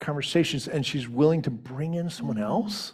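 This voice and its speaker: A man with a fairly high pitch talks in a plain, everyday voice. His intonation is lively, and his pace is moderate. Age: 50s. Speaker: co-pastor. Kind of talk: sermon. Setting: church.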